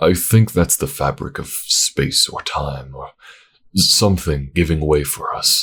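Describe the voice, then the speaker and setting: A man puts on a character voice pitched very deep and low. He speaks at a fairly slow pace. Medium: read story.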